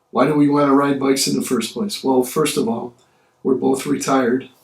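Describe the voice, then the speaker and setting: A man's medium-pitched voice carries vocal fry. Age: 60s. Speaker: retired vlogger reviewing an e-bike. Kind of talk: casual product review vlog.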